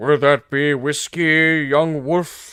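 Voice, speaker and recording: On a very clean recording with a silent background, a man does a put-on character voice at a fairly high pitch. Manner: gruff, welcoming.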